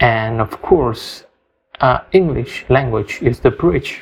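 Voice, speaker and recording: A man with an Indonesian accent speaks at a very slow pace in a medium pitch. His somewhat breathy voice has lively intonation. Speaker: English learner podcaster. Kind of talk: personal story monologue. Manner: halting, many fillers and repetitions.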